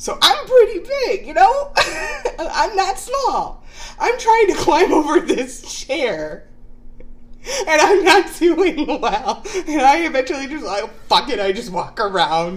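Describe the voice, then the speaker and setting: Through noticeable background noise, a woman speaks at a fairly slow pace with an extremely high pitch and very wide pitch swings. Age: 30s. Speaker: podcast co-host, aspiring actress. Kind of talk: casual chat. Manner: giggly, laughing often.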